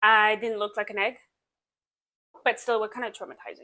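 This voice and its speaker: A woman's fairly high, bright and sharp voice at a moderate pace, with a French accent. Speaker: vlogger. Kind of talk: casual chat.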